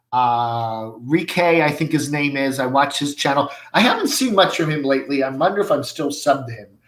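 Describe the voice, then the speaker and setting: Audible room echo surrounds a man with a fairly high pitch who speaks at a moderate pace with ordinary pitch variation and hardly any pauses. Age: 60s. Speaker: livestream host reading viewer comments. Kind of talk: casual live chat. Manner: halting, many fillers.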